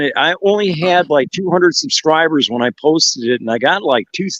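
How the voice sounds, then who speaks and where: A man's fairly high pitch and ordinary pitch variation shape an ordinary speaking voice. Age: 60s. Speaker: cannabis content creator. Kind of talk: casual chat.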